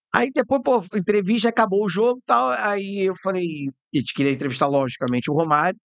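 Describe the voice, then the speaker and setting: A man's high-pitched voice at a fairly quick pace, with very wide pitch swings, hardly any pauses and a dry, close sound with no echo. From Rio de Janeiro, Brazil. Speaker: radio host and journalist. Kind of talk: casual chat. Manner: animated.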